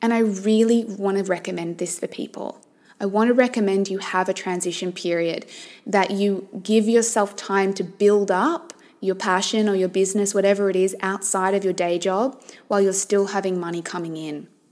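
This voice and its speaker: Noticeable background noise sits behind a woman with a warm tone and medium pitch. She speaks at a moderate pace with fairly even intonation. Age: 30s. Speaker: life coach and podcast host. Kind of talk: solo monologue podcast. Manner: warm, conversational.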